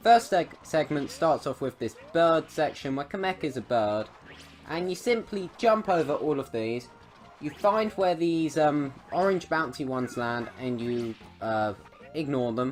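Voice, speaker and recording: Music plays in the background while the speaker goes at a fairly slow pace. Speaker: gaming YouTuber. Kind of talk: game tutorial.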